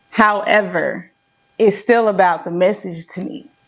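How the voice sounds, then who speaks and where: Speaking with a Southern accent, a woman talks at a fairly slow pace. Her pitch varies in an ordinary way. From Memphis, Tennessee. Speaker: rapper, poet, mental health professional. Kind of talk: interview.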